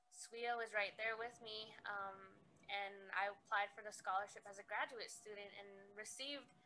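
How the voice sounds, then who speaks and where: Over noticeable background noise, a speaker with an American accent talks at a moderate pace with fairly even intonation and big swings in loudness. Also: woman, medium pitch for a woman. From Navajo Nation, US Southwest. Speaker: agricultural extension agent. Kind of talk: conference presentation. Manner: hesitant with frequent ums. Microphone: very quiet audio, volume fading.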